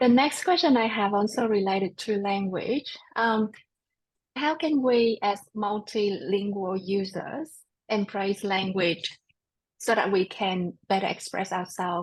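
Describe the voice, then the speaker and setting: Fairly slowly and somewhat breathily, a woman speaks at a medium pitch with ordinary pitch variation, in an Australian accent. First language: not English. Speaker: podcast host. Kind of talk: interview.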